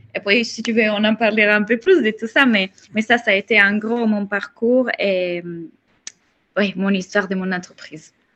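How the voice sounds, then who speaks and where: A woman speaks with an Italian accent at a moderate pace. Her pitch is fairly high and her intonation fairly even. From Italy. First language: Italian (speaking French). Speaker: mindset coach. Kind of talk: interview.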